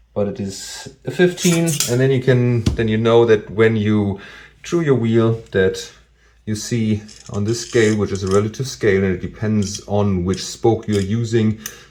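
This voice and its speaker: With a non-native accent, a man speaks in a dark, mellow tone with ordinary pitch variation. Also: fairly low pitch for a man, moderate pace. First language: not English. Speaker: DIY bike mechanic youtuber. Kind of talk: tutorial. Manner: hesitant, many fillers.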